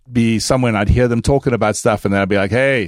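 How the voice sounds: At a fast pace, a man speaks at a medium pitch with fairly even intonation.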